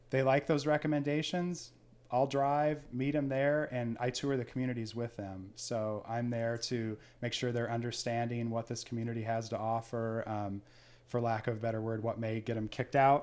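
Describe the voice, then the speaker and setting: A man speaks in a normal speaking voice at medium pitch and a moderate pace. His intonation stays fairly even, and the recording is very clean with a silent background. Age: 50s. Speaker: senior living placement adviser. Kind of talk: interview.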